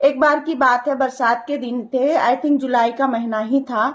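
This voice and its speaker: Her pitch is high, with ordinary variation. This woman speaks at a fairly slow pace. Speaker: storyteller, social media creator. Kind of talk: personal storytelling. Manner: casual, conversational.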